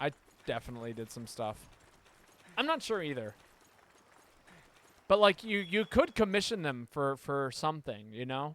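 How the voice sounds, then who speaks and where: Both pitch and loudness swing widely as a man with a fairly high pitch talks at a moderate pace. Long pauses come often. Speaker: streamer. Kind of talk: casual chat. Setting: live stream. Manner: casual, rambling with stammers.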